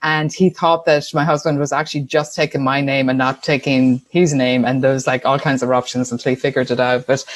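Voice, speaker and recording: This woman speaks with an Irish accent. Her pace is fairly quick. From Ireland, Tuam, County Galway. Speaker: entrepreneur, sponsorship consultant. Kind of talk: podcast interview.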